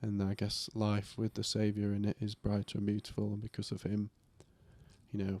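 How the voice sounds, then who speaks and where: A man's fairly low voice with a dark, mellow tone, fairly even intonation and a moderate pace. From northern England, Yorkshire. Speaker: podcast co-host. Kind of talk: casual chat.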